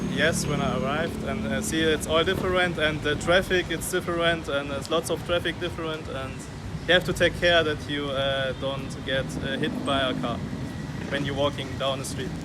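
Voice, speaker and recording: Amid audible room echo and noticeable background noise, a man with a fairly high pitch talks at a moderate pace with fairly even intonation. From Germany. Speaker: tourist interviewee. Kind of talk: street interview. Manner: halting.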